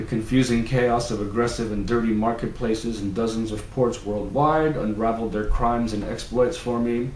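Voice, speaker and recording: A man with an American accent speaks at a moderate pace and medium pitch, with fairly even intonation and hardly any pauses. Audible room echo and noticeable background noise are present. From New York City, the Bronx. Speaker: novelist. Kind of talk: reading aloud. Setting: at home. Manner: hesitant, many fillers.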